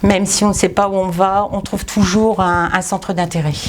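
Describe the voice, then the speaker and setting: Noticeable background noise fills the recording. Through it, a woman talks at a medium pitch. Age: 60s. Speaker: retired volunteer. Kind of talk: interview testimony. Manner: hesitant, with many fillers.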